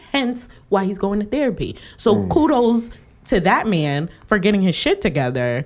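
The voice carries vocal fry and very wide pitch swings at a moderate pace. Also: woman, medium pitch for a woman. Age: 30s. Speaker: podcast co-host. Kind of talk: casual chat. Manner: animated.

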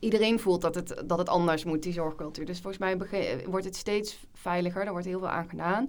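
With a normal speaking voice and fairly low pitch, a woman talks at a moderate pace with hardly any pauses. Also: fairly even intonation. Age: 20s. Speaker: junior doctor. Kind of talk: casual chat.

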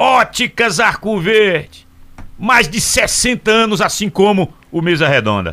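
A man projects a raised, high voice with a bright, sharp tone. He goes very slowly, with ordinary pitch variation. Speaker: radio host. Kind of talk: live radio talk show. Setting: radio studio.

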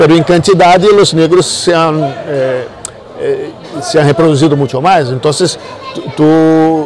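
A man with a Brazilian accent speaks at a very slow pace in a fairly high pitch with fairly even intonation. Audible room echo and noticeable background noise are present. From Brazil, Niterói near Rio de Janeiro. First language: Portuguese (speaking Spanish). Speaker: musician. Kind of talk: casual interview. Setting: in-person interview filmed with 360 camera.

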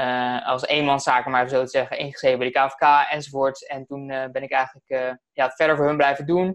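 A man's fairly high voice with monotone, flat intonation. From Netherlands, Alphen aan den Rijn. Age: 20s. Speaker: messenger marketing entrepreneur. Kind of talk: interview. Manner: fast.

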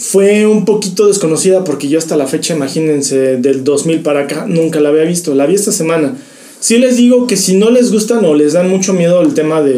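Over noticeable background noise and audible room echo, a man with a fairly high voice speaks at a moderate pace with lively intonation. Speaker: podcast co-host. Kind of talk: casual chat.

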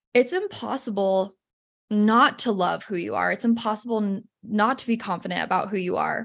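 A woman with an American accent, medium pitch, moderate pace, fairly even intonation, and an ordinary speaking voice. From Utah, US (north of Salt Lake City). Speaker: confidence coach. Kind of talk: casual interview chat.

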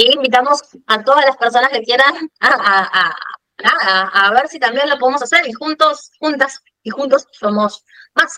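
A woman with a high pitch speaks fairly slowly in a raised, projected voice with ordinary pitch variation, the sound dry and close with no echo. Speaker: podcast co-host, fashion business consultant. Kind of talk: casual chat.

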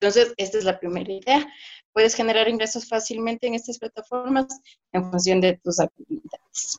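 A woman talks at a fairly quick pace in a fairly high voice, with ordinary pitch variation. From Ecuador. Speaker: digital marketing consultant. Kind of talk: interview, explanatory advice. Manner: hesitant fillers (eh, o sea).

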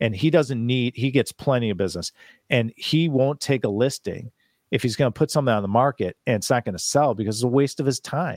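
A man's unremarkable speaking voice at medium pitch and a fairly quick pace, with ordinary pitch variation in a dry, close sound with no echo. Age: 50s. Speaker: commercial real estate investor. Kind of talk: interview.

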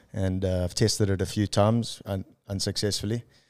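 A man speaks at a moderate pace in a South African accent, his tone dark and mellow and his intonation monotone and flat. The recording is very clean, with a silent background. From South Africa (Durban). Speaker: entrepreneur. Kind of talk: casual chat.

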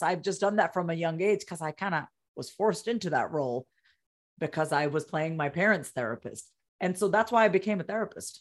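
A woman with an ordinary speaking voice talks rather quickly, her intonation lively, on a very clean recording with total silence behind her. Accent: American. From Long Island, New York. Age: 40s. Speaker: therapist and communication coach. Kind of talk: interview.

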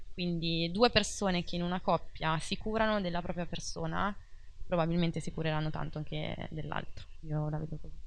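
Speaking at a fairly quick pace, a woman uses a normal speaking voice with fairly low pitch and fairly even intonation. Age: 30s. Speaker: life coach. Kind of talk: casual interview.

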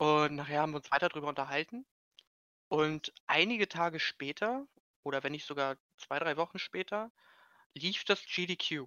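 The pace is moderate. Long pauses come frequently. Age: 20s. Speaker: social media volunteer for speedrunning community. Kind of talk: casual chat.

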